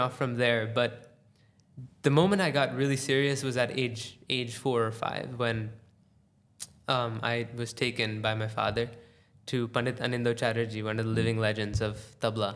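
With an American accent, a man has an unremarkable speaking voice, speaking at a moderate pace in a medium pitch with fairly even intonation. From United States. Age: young. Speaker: tabla player. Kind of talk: casual interview.

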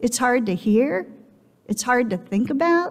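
The background is quiet while a woman talks. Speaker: speaker. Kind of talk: sermon. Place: church. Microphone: headset.

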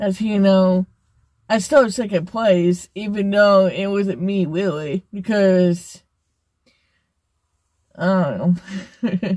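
A woman with a dark, mellow tone and ordinary pitch variation, speaking at a very slow pace with long, frequent pauses, in a dry sound with no echo and a quiet background. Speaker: vlogger. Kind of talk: casual vlog chat. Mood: disappointed, then upbeat. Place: car. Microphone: phone near.

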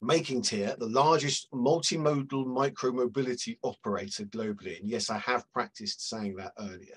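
Here is a man with a British accent. He speaks at a moderate pace with ordinary pitch variation. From Britain. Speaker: media analytics consultant and webinar moderator. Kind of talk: webinar panel discussion. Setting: video call. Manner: friendly, jokey. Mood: friendly, light humor. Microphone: headset.

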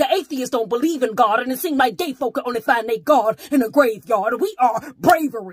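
With an intense tone and lively intonation, a woman talks in a high pitch, the sound dry with no echo. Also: quiet background. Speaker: slam poet. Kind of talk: slam poetry performance. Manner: intense, defiant. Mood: pained, defiant. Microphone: phone near.

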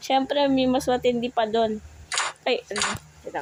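A woman talks at a moderate pace with ordinary pitch variation, noticeable noise in the background. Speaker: gaming YouTuber. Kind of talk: gameplay commentary. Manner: animated.

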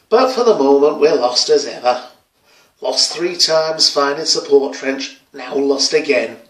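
Audible room echo surrounds a man speaking at a fairly slow pace with ordinary pitch variation. The background is quiet. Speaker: actor performing monologue. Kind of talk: dramatic monologue. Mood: weary, regretful. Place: home room. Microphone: phone near.

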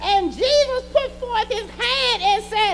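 This woman's voice is extremely high-pitched and animated in tone. Noticeable background noise runs underneath. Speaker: preacher. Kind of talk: sermon; call-and-response preaching, exhorting the congregation directly. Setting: church. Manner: animated, fervent, rhythmic pulpit delivery with repeated emphatic refrains; urgent, testifying, rising in intensity with praise shouts. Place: church.

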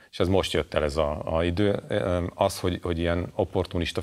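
A man's very deep, low voice at a moderate pace over a quiet background. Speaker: journalist. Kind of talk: panel discussion. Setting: studio. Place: studio. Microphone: lapel.

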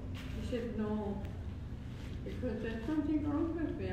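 A woman's voice amid strong room echo and noticeable background noise. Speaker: elderly aunt. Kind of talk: casual conversation. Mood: relaxed, cheerful. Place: home room.

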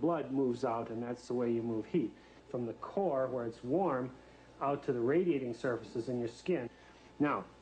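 There is light background noise as a man with a dark, mellow tone speaks at a moderate pace with ordinary pitch variation. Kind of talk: explanation to a child. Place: workshop. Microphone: old recording.

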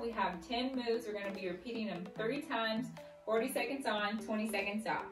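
A woman is speaking. Clear music plays behind her. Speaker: fitness instructor. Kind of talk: workout video intro. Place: home room. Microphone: camera far.

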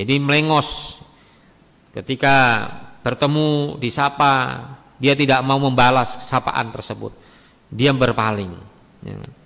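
Speaking very slowly with long, frequent pauses, a man at a medium pitch keeps his intonation fairly even while his loudness swings widely. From Indonesia. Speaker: Islamic preacher. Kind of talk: religious study lecture. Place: church. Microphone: podium.

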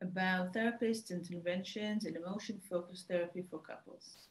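A woman speaks at a moderate pace in a somewhat breathy voice with ordinary pitch variation, and some room echo can be heard. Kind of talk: research presentation. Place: home room. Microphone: webcam.

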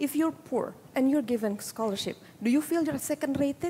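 Lively intonation and an Indonesian accent over light background noise. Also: woman. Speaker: women's political participation advocate; panelist. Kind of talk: panel discussion. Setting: conference stage with audience. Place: stage. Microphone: headset.

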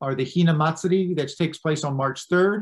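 The background stays quiet. A man talks fairly quickly, keeping his intonation fairly even. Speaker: presenter. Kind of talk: lecture. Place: home room. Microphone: webcam.

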